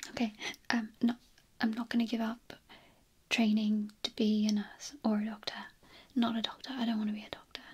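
Soft-spoken and monotone, a woman talks at a moderate pace over light background noise. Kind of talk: roleplay monologue to camera. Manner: soft, close-up ASMR roleplay voice.

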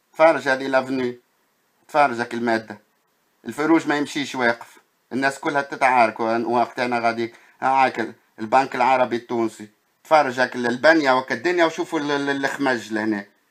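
The recording is very clean, with a silent background. A man talks at a moderate pace and a medium pitch. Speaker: video blogger. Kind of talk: narrated walking video commentary. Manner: animated, exclamatory.

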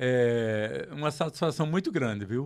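Speaking at a fairly slow pace, a man uses lively intonation. The background is quiet. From Pernambuco, Brazil. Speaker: record store owner; radio show host. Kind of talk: casual chat; interview conversation. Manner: halting. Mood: cheerful, nostalgic. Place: studio. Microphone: handheld.

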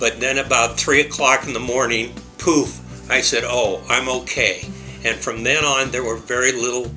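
Clear music plays in the background while a man speaks. His pitch is medium and his pace moderate. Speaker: bariatric surgery patient. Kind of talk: patient testimonial. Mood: positive, upbeat. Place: office. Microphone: webcam.

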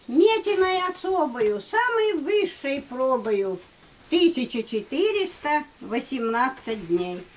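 Very wide pitch swings mark a woman's very slow delivery, with light background noise behind her. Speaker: grandmother reciting poetry. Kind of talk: poetry reading. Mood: solemn, heartfelt. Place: home room. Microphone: camera far.

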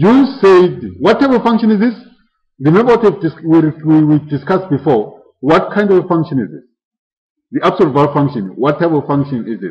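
A man's high-pitched voice with very wide pitch swings. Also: moderate pace. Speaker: mathematics lecturer. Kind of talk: lecture. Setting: classroom with live students. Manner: interactive, asks class questions often; self-correcting, somewhat halting.

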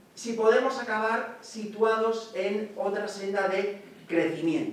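A man speaks at a very slow pace in a space with strong room echo. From Asturias, Spain. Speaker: economics professor. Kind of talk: academic lecture. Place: hall.

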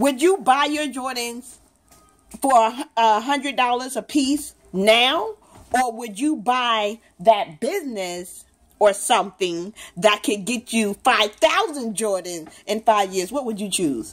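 A woman speaking at a very slow pace with lively intonation. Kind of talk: casual questioning of a child. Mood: playful, encouraging. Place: home room.

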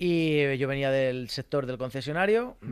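Against a quiet background, a man speaks in a dry sound with no echo. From Spain, rural village. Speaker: mechanic and social media creator; social media creator. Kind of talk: casual interview. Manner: animated. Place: studio. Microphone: studio mic.

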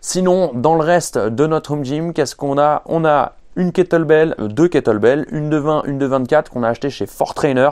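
Against a quiet background, the speech moves at a fairly quick pace with hardly any pauses and ordinary pitch variation. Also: man. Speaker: fitness coach. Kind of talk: casual vlog chat. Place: garage.

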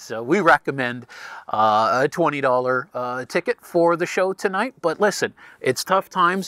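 At a moderate pace and with ordinary pitch variation, a man talks against a quiet background in a dry sound with no echo. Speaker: host of a theatre fundraiser. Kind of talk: host address to online audience. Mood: warm, grateful. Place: stage. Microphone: lapel.

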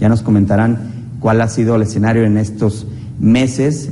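A man's fairly low voice in a Mexican accent, fairly even in intonation, with light background noise. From Mexico. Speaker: program host, accountant. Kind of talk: TV interview. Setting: studio. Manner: halting, many fillers. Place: studio. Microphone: lapel.

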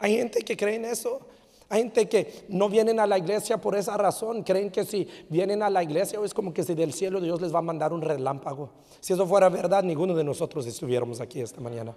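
A man's high-pitched voice with an animated, warm tone, lively intonation and a fairly quick pace. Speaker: pastor. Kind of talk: sermon. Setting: church. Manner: animated, warm, preacherly, with frequent restarts and repeated words. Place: church. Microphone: handheld.

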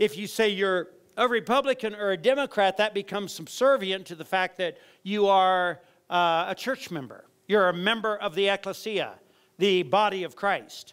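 Against a quiet background, a man with a high-pitched voice speaks at a moderate pace and ordinary pitch variation. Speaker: pastor. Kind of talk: sermon. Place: church. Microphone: headset.

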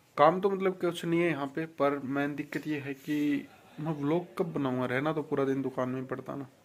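Amid audible room echo, a man with a fairly high pitch talks at a fairly quick pace in fairly even intonation.

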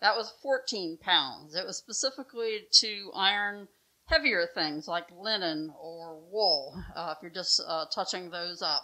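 The speaker is a woman. Her pace is fairly slow against a quiet background. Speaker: museum guide or docent. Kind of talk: educational explanation. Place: home room.

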